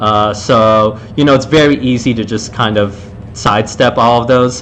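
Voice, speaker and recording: The man keeps a moderate pace. Background noise is noticeable throughout. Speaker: game developer streaming level design commentary. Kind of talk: live gameplay commentary. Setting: live stream. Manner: loud; casual, many fillers.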